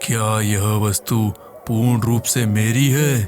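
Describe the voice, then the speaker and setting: A man's put-on character voice at a medium pitch and a very slow pace, against clear background noise. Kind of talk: horror audio drama. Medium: read story. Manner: formal, commanding.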